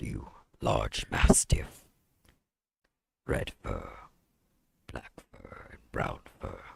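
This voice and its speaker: A man's put-on character voice at a very slow pace, with long, frequent pauses. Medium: actual play. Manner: formal, ceremonial.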